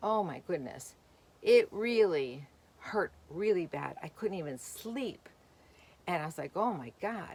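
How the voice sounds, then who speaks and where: At a very slow pace, a woman with a fairly low pitch speaks with very wide pitch swings and big swings in loudness. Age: 60s. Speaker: vlogger. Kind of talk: casual vlog talk. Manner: chatty, rambling with fillers.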